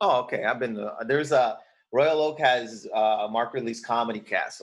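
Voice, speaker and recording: A man speaks fairly quickly, his loudness swinging widely. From Windsor, Ontario, Canada. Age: 40s. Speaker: stand-up comedian and actor. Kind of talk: casual chat.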